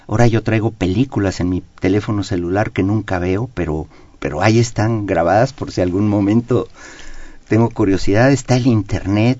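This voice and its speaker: A man with an ordinary speaking voice talks at a fairly low pitch and a moderate pace. His intonation stays fairly even. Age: 60s. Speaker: economist. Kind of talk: radio interview. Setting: radio studio.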